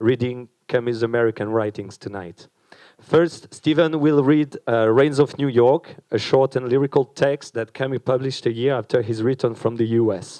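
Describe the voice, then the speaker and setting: In a French accent, a man talks at a moderate pace and medium pitch, his dark, mellow tone showing ordinary pitch variation in a dry, close sound with no echo. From France. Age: young. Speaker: event organizer. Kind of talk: event introduction speech. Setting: stage with audience. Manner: hesitant, with fillers.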